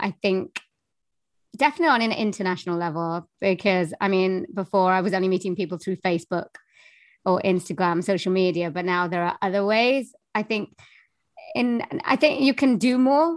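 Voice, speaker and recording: A woman with a Welsh accent, medium pitch and lively intonation at a moderate pace, in a dry, close sound with no echo and a quiet background. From Wales. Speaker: voiceover artist and singer. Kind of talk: interview, casual chat.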